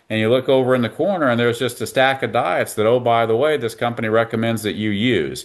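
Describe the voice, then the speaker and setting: At a very fast pace, a man with an American accent talks with fairly even intonation. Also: medium pitch for a man. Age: 60s. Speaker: veterinarian. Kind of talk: interview.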